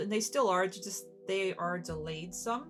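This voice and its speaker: The words come at a fairly slow pace while music plays in the background. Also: woman. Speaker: podcast host. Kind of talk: casual podcast talk.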